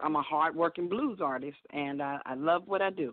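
A woman with a Southern US accent. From Alabama, US South (Birmingham). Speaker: blues singer. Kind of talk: casual phone interview. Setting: phone call.

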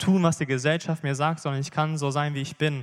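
A man's fairly high, monotone voice with flat intonation at a fairly quick pace, on a very clean recording with a silent background. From Bielefeld area, Germany. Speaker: church member giving testimony. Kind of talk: sermon testimony. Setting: church stage.

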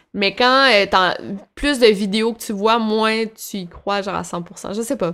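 Woman in a Quebec accent, fairly high-pitched, with a bright, sharp tone, fairly even intonation and a very slow pace. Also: big swings in loudness. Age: 20s. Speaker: YouTuber. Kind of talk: casual interview.

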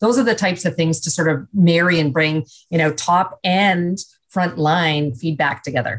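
A woman with a Canadian accent has an ordinary speaking voice, fairly low in pitch. She speaks at a moderate pace with very even loudness. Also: ordinary pitch variation. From Canada. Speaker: business executive and leadership speaker. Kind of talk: radio interview.

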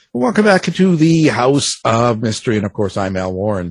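A man at a medium pitch and moderate pace, with very wide pitch swings and a quiet background. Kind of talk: casual interview chat. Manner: relaxed, conversational, laughs often, hesitant with fillers.

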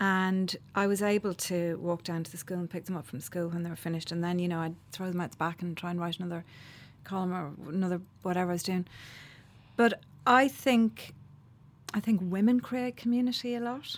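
A woman with an Irish accent at a fairly quick pace, medium in pitch with ordinary pitch variation. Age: 50s. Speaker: playwright and columnist. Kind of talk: interview.

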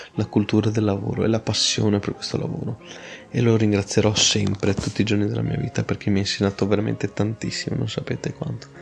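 Over noticeable background noise, a man with a fairly low voice talks at a fairly quick pace. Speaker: podcast host on logistics. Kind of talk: informal educational monologue. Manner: halting, stumbling over words; more natural, less read.

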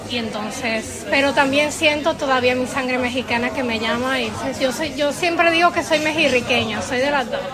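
A woman's high-pitched voice with ordinary pitch variation at a moderate pace and hardly any pauses, with audible room echo and crowd noise in the background. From Puerto Rico, raised from age eight after early childhood in Mexico. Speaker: actress. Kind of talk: interview. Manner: halting.

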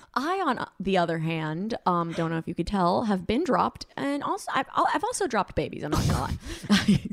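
Over noticeable background noise, a woman talks with very wide pitch swings. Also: medium pitch for a woman, moderate pace. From Colombia. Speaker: podcast co-host. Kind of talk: casual chat.

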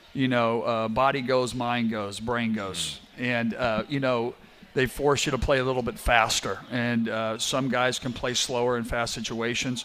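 A man talks at a fairly slow pace in a monotone, flat intonation, with hardly any pauses. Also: medium pitch for a man. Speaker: head basketball coach. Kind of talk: radio interview about games.

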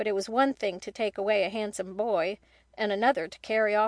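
A natural reading voice carries fairly even intonation throughout.

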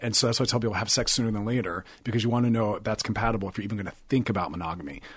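Somewhat breathy, a man talks very fast with hardly any pauses, a fairly low pitch and ordinary pitch variation. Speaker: sex and relationship therapist. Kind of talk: casual interview chat.

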